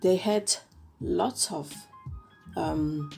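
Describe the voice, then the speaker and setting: A woman with an Italian accent speaks with music in the background. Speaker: K-pop reviewer. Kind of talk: casual podcast-style review.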